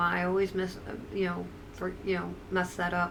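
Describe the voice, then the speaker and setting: A woman with an American accent speaks at a moderate pace in a medium pitch. Audible room echo is present. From upstate New York. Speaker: streamer. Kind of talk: casual live-stream chat. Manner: hesitant, repetitive.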